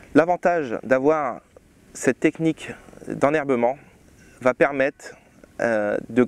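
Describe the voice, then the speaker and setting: A man speaks at a very slow pace with a fairly high pitch. His pitch varies in an ordinary way, and the sound is dry with no echo. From France, Champagne region (Marne); Champagne, France. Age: 30s. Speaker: winemaker. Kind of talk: tutorial. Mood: calm, informative. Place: farm machine. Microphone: lapel.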